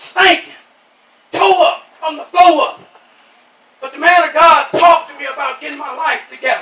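A man with an American accent uses a raised, projected voice at an extremely high pitch, with ordinary pitch variation and big swings in loudness. Long, frequent pauses break up his speech over noticeable background noise. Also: moderate pace. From New York. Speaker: lay preacher giving testimony. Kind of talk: Pentecostal revival testimony-sermon, call-and-response exhortation. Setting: outdoor tent revival. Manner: rhythmic preaching punctuated by constant amens, congregation answering; rising, insistent repetition building to fervor.

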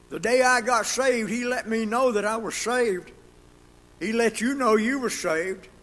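The pace is moderate, with noticeable background noise. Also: man, extremely high pitch for a man, ordinary pitch variation. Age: 80s+. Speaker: Sunday school teacher. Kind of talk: sermon. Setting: church.

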